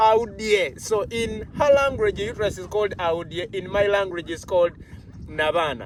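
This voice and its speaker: Over noticeable background noise, a man with a Ugandan accent speaks in a high pitch with lively intonation. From Uganda (Baganda). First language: Luganda. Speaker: health channel host. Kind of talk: interview.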